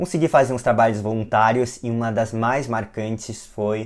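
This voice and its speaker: Against a silent background in a very clean recording, a man with a plain, everyday voice speaks at a fairly low pitch with fairly even intonation. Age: 20s. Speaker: physician and lecturer. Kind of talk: lecture.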